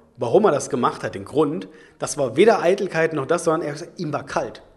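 A man talks at a very fast pace. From Leipzig, eastern Germany. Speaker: podcast host at hair clinic. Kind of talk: casual chat. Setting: studio.

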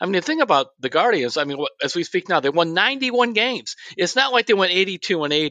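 Raised and projected, a man's high voice has a bright, sharp tone and very wide pitch swings. He goes at a fairly quick pace with hardly any pauses, in a dry, close sound with no echo. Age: 60s. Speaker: sports columnist. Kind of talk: casual chat.

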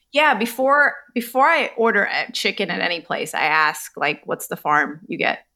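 A woman's fairly high, bright, sharp voice with vocal fry, very wide pitch swings, a moderate pace and hardly any pauses. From US South, Charlotte, North Carolina. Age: 40s. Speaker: food activist and author. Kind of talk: casual interview. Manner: animated.

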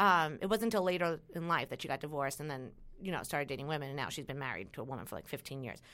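A woman with a New York accent, very fast, very deep and low in pitch, bright and sharp in tone, with lively intonation. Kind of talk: casual chat.

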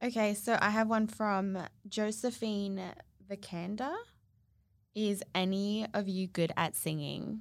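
A woman with an Australian accent, medium pitch and fairly even intonation, at a fairly slow pace with long, frequent pauses, on a very clean recording with a silent background. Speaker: podcast co-host, social media influencer. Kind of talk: casual chat.

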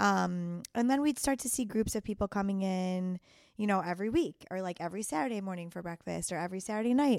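A woman's very fast, medium-pitched speech with a Chicago accent and ordinary pitch variation, in a very clean recording with a silent background. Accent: Chicago accent, noticed by herself. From US Midwest, Chicago. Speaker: chef. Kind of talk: casual interview. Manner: hesitant, many ums.

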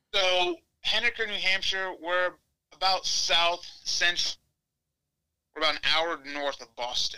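With an American accent, a man talks in a high, bright and sharp voice at a fairly slow pace, with ordinary pitch variation and long, frequent pauses. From Ohio, Cleveland area. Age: 20s. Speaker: college wrestling coach. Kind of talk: casual interview.

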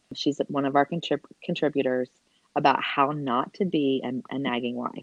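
The pace here is moderate. It is a woman talking in a Southern US accent. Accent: southern twang. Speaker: podcast co-host.

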